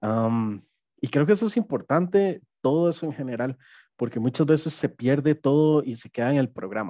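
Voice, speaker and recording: This man has a dark, mellow tone and a fairly high pitch, moving at a moderate pace. His intonation is lively, and the background is quiet. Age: 30s. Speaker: app development project manager, neurodivergent employee; webinar panelist. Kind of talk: personal testimony. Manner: halting, many fillers. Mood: calm, reflective. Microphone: headset.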